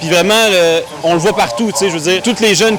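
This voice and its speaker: Over noticeable background noise, a high-pitched man talks at a very fast pace with ordinary pitch variation. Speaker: interviewee at rally. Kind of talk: street interview.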